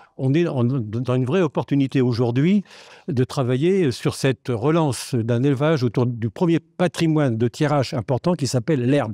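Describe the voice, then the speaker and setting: A man's medium-pitched voice with a dark, mellow tone, very even loudness, ordinary pitch variation and a moderate pace, dry and close with no echo, over a quiet background. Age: 80s+. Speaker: audience member, retired local development worker. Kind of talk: audience comment at panel debate. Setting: festival round table with audience. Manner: halting, many repetitions.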